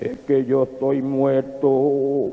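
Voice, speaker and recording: A man's put-on character voice at a medium pitch, with monotone, flat intonation and light background noise. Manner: solemn, deadpan.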